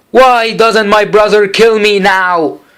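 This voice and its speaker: A man puts on a high-pitched character voice. He speaks at a fairly slow pace. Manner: feeble, despairing.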